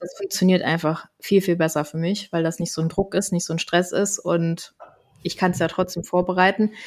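A woman talks in an unremarkable speaking voice at a medium pitch. Her pace is fairly quick. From Germany, Koblenz (Rhineland). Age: 30s. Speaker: health coach. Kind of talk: casual interview. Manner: laughing.

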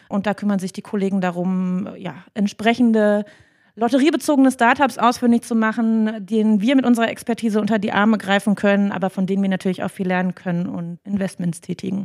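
Over a silent background in a very clean recording, a woman uses an ordinary speaking voice at a medium pitch with ordinary pitch variation. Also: fairly quick pace, dry, close sound with no echo. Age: 30s. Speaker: HR manager. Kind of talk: interview. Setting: company office.

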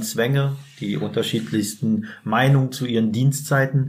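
Moderate speed and ordinary pitch variation from a male speaker. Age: 40s. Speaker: prison inmate. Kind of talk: interview. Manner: halting.

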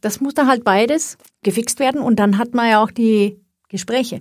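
This woman speaks with a Swedish accent. Her pitch is fairly high and her pace moderate. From Sweden. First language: Swedish (speaking German). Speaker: IT executive. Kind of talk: podcast interview.

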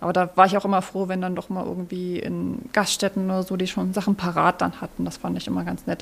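A woman speaks at a very fast pace in a medium pitch, with vocal fry and a monotone, flat intonation. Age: 30s. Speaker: social media presenter and expectant mother. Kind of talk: casual chat. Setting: live at a trade fair set.

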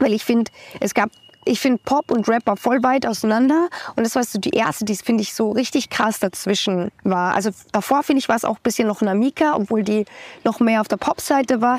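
Fairly high-pitched and quick, this woman has an ordinary speaking voice with ordinary pitch variation, recorded dry and close with no echo. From Austria. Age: 20s. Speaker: singer-songwriter. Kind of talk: casual interview.

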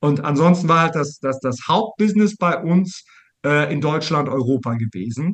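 A man speaks at a moderate pace with lively intonation. His voice is somewhat breathy. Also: fairly high pitch for a man. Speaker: business coach. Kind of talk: casual interview.

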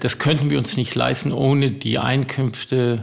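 Noticeable background noise sits behind the speech. A man talks at a fairly slow pace. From US (New Jersey, California). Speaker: estate owner. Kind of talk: interview.

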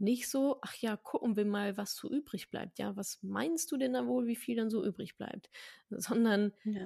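Her voice is dark and mellow, somewhat breathy and medium in pitch, as the woman speaks at a fairly slow pace in a dry, close sound with no echo. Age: 30s. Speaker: personal finance educator. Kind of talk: interview.

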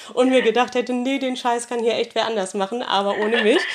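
A woman speaks in a high pitch. Noticeable background noise runs under her voice. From northern Germany. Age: 30s. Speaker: dental phobia patient. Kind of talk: testimony.

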